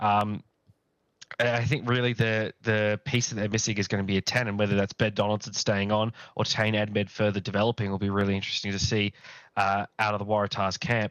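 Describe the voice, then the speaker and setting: A man speaks at a fairly quick pace in a fairly low, monotone voice, the sound dry and close with no echo against a quiet background. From Australia. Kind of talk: casual chat.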